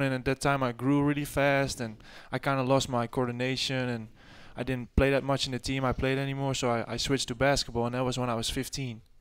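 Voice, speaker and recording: Talking at a very fast pace, a man has a Dutch accent. His pitch is medium. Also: very clean recording, silent background. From Netherlands. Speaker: college basketball player. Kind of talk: radio interview.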